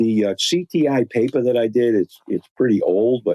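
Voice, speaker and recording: With a Boston accent, a man speaks at a moderate pace with ordinary pitch variation. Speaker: industrial filtration expert. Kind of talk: podcast interview. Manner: halting, frequent repetitions and fillers.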